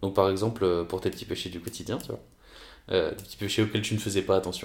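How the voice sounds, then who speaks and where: Over a silent background in a very clean recording, a man talks at a very fast pace with fairly even intonation. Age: 20s. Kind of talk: casual faith talk. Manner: halting.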